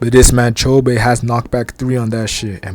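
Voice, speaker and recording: At a medium pitch and moderate pace, a man speaks with flat, monotone intonation. Noticeable noise sits in the background. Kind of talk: anime episode recap and reaction. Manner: casual, slangy.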